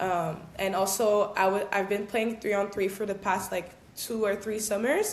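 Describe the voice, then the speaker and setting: A woman speaks at a medium pitch in a monotone, flat way, with audible room echo and noticeable background noise. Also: moderate pace. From Quebec, Gatineau. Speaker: professional basketball player. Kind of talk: interview. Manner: casual, filler-heavy.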